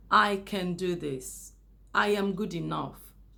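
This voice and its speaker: Audible room echo carries a woman's voice at a medium pitch. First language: not English. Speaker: YouTuber. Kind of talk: casual monologue to camera. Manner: unscripted, with hesitations.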